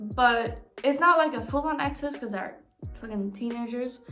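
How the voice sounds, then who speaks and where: A woman with a non-native accent speaks at a moderate pace in a high pitch with ordinary pitch variation. Music plays in the background, and room echo is audible. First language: not English. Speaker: book vlogger. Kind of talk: casual book haul vlog. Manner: halting, stumbles over words.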